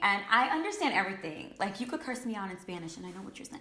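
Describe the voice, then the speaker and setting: Heard with audible room echo and noticeable background noise, a woman with a New York accent speaks at a fairly high pitch. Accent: New York American English. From New York, US. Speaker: beauty influencer. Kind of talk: casual chat.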